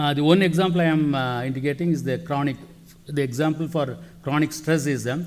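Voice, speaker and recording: Audible room echo surrounds a man speaking at a fairly quick pace, his pitch fairly high and his intonation fairly even. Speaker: mangrove researcher. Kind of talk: conference talk. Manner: fast; halting, many fillers.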